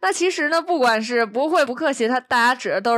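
A woman speaks with a high pitch. Her pitch swings very widely. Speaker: podcast host. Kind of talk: casual chat.

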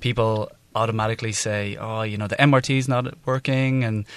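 A man speaks at a medium pitch with a Dublin accent, his intonation flat and monotone. The background is quiet, and the sound is dry and close with no echo. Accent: Dublin Irish. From Ireland, Dublin. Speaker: non-profit co-founder. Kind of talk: interview.

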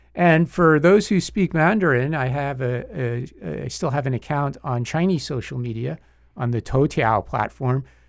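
A man's lively intonation in a New York accent, on a very clean recording with a silent background. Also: medium pitch for a man, moderate pace. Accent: New York area American. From US Northeast, Long Island, New York. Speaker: lawyer and political analyst. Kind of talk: casual interview chat.

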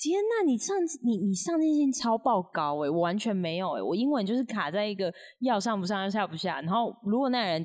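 On a very clean recording with a silent background, a woman at a medium pitch talks fairly quickly with very wide pitch swings. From Taiwan. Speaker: podcast co-host, digital nomad. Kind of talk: casual chat.

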